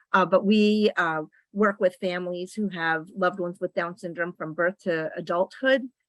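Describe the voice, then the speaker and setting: A woman with a plain, everyday voice, fairly even intonation and a moderate pace, on a very clean recording with a silent background and a dry, close sound with no echo. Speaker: nonprofit executive director and parent. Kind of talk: meeting presentation.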